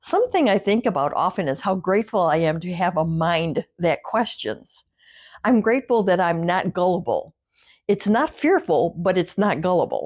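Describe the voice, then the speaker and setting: An ordinary speaking voice from a woman at a medium pitch and moderate pace, with lively intonation, on a very clean recording with a silent background. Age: 60s. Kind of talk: casual talk to camera. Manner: reflective.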